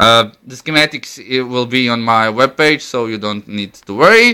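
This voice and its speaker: Against a quiet background, the voice moves through very wide pitch swings. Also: man. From Croatia. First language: Croatian. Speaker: electronics hobbyist demonstrating a homemade device. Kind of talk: tutorial. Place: home room. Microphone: phone near.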